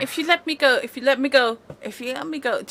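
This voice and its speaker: A strained, put-on character voice, female-sounding and high-pitched, at a very fast pace. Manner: pleading.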